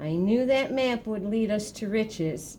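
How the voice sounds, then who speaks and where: A woman speaks in a put-on character voice at a fairly high pitch. Background noise is clearly audible. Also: moderate pace. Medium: read story. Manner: hearty, enthusiastic.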